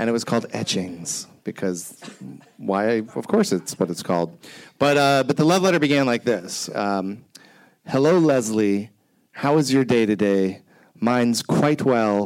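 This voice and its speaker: In a plain, everyday voice, a man speaks fairly slowly at a medium pitch with lively intonation. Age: 40s. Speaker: TV creator and storytelling show producer. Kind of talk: panel discussion.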